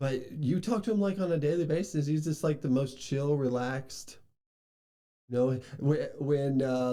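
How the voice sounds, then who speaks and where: A man speaks at a fairly slow pace with a dark, mellow tone and ordinary pitch variation. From Kentucky. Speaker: podcast host. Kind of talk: casual chat. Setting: studio.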